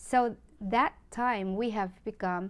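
This woman's voice sits at a medium pitch with ordinary pitch variation. She speaks at a very slow pace. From Philippines. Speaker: online community founder and vlogger; vlogger. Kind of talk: promotional monologue. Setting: Facebook live stream. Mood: friendly, grateful. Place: home room. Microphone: phone near.

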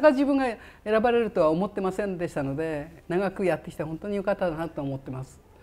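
Speaking at a very fast pace, a woman with a fairly low pitch and a dark, mellow tone uses lively intonation. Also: big swings in loudness. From Japan, Fukushima; Japan. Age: 70s. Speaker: retired professional golfer. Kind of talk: interview. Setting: golf club memorial room. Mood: warm, grateful. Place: office.

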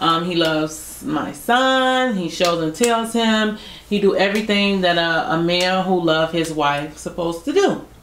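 A woman with a fairly low pitch speaks at a fairly slow pace in a playful tone with lively intonation, amid audible room echo and light background noise. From United States. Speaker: YouTube couple vlogger; couple vlogger. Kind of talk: casual chat. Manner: laughs often, playful. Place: home room.

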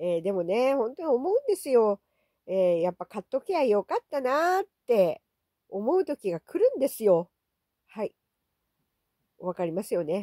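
A woman speaks at a moderate pace in a fairly high, dark and mellow voice with very wide pitch swings and long, frequent pauses, recorded very cleanly against a silent background with a dry, close sound and no echo. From Okinawa. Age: old. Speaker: YouTuber. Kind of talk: casual monologue vlog. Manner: chatty with many fillers.

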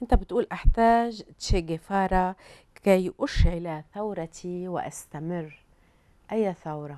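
With a Lebanese accent, a woman speaks at a very slow pace in a dark, mellow tone, with ordinary pitch variation, big swings in loudness and a quiet background. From Lebanon. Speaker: TV talk show host. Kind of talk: interview. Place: studio. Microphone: lapel.

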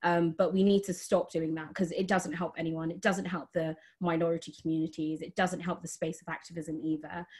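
A woman talks fairly quickly with hardly any pauses, her somewhat breathy voice at a fairly low pitch and in a monotone, flat intonation, over a quiet background. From England, Lincolnshire; England. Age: 20s. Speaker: climate activist; panelist. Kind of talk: panel discussion. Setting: online video call. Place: home room. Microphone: video call.

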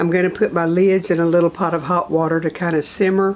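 This is a woman speaking. Light background noise sits behind her. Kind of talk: cooking tutorial. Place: kitchen.

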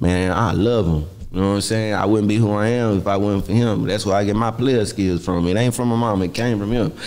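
A man with a Houston accent speaks at a fairly low pitch and a fairly quick pace, with hardly any pauses, fairly even intonation and very even loudness. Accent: Southern US, Houston. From Texas. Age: 30s. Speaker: rapper. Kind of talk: casual chat. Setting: studio. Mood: relaxed, casual. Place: studio. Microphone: studio mic.

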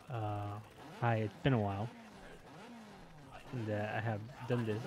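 A man talks at an unhurried, moderate rate while noticeable noise fills the background. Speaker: gaming YouTuber. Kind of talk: gameplay commentary. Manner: hesitant, many fillers.

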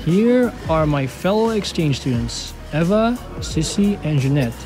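Music plays in the background as the speaker goes at a fairly slow pace. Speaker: exchange student vlogger. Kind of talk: casual vlog narration.

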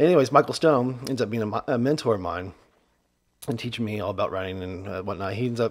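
Here a man speaks with an American accent. His pitch varies in an ordinary way. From US Midwest. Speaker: comedy podcast host. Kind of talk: casual chat. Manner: animated. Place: home room. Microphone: studio mic.

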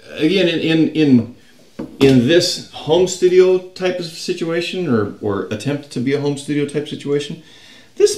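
A man talks at a fairly slow pace. Audible room echo is present. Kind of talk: casual vlog chat. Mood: mildly annoyed, griping. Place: home room. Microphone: camera far.

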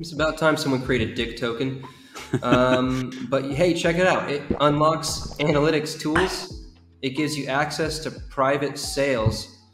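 Clear music plays in the background. A man speaks over it with fairly even intonation. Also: fairly slow pace. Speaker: co-host reviewing a project. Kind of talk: casual commentary. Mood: wry, amused. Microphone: headset.

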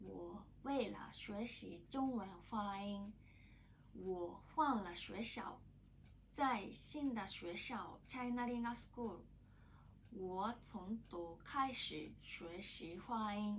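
The speech comes at a very slow pace with ordinary pitch variation. Light background noise is present. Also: woman. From Japan. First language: Japanese (speaking Chinese). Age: 30s. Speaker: language student. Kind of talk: prepared testimony in learned language. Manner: halting. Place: office. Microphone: camera far.

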